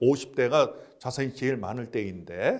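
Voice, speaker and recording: A man speaks with vocal fry. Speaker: retirement planning expert. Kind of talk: interview talk, lecture-like advice. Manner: explanatory, structured.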